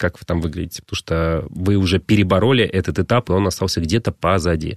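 A man talks at a fairly quick pace with a very deep, low pitch and ordinary pitch variation. The sound is dry and close, with no echo. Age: 30s. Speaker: fitness trainer. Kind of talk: radio interview. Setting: radio studio.

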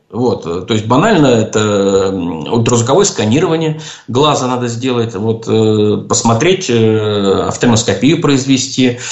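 A man speaks at a fairly slow pace with lively intonation. Noticeable background noise runs underneath. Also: medium pitch for a man. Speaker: ophthalmologist, professor. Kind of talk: radio call-in interview. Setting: radio studio.

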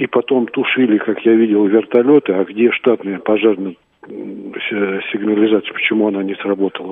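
At a middling speed and with mostly level intonation, an unremarkable speaking voice is heard. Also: man. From Crimea (Sevastopol). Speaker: caller, former security officer. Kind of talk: phone-in opinion. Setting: phone call.

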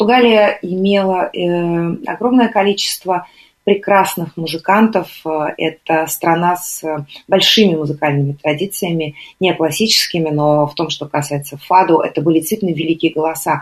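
There are long, frequent pauses as a woman with a fairly low pitch speaks with ordinary pitch variation. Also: moderate pace. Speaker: radio host. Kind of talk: radio music show presenting. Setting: live radio broadcast. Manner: calm, quiet.

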